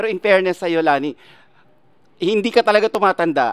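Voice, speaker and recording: The sound is dry and close with no echo. The voice moves at a fairly quick pace with ordinary pitch variation. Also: man. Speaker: showbiz podcast host. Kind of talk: interview.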